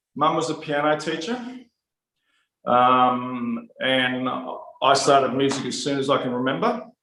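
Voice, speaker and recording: Speaking in an Australian accent at a fairly slow pace with long, frequent pauses, a man with a fairly high pitch shows ordinary pitch variation amid audible room echo. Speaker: musician and music teacher. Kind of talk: interview. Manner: loud.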